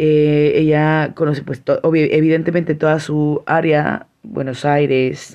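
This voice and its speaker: A woman with a very deep, low voice talks in a quiet setting. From Mexico, San Cristóbal de las Casas, Chiapas. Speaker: podcast host. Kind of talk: solo podcast monologue. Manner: warm, enthusiastic.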